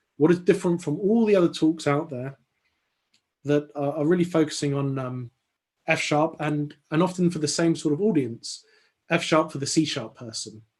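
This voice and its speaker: A man's fairly high voice with an English accent, ordinary pitch variation and a moderate pace. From London, England. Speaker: software consultant and conference speaker. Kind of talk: technical talk. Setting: online video call. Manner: hesitant, many fillers and repetitions.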